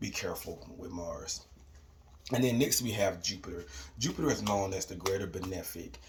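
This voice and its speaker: Over noticeable background noise, a man talks at a moderate pace with a very deep, low pitch. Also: lively intonation. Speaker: astrology and manifestation youtuber. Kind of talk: tutorial. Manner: casual with fillers.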